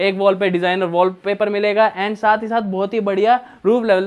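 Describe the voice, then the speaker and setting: The man speaks with a high pitch. His intonation is fairly even. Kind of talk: property tour presentation. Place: home room.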